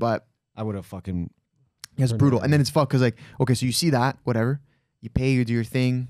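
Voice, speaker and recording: Delivered at a very fast pace with ordinary pitch variation, the speech has a dry sound with no echo against a quiet background. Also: man. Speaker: podcast host. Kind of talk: casual podcast storytelling. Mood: animated, amused storytelling. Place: studio. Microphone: studio mic.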